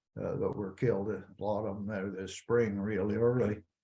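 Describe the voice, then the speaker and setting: Somewhat breathy and fairly low-pitched, a man with an American accent speaks at a moderate pace with fairly even intonation. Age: 80s+. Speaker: rancher, former cattle association president. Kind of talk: casual interview conversation. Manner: halting, repeats words.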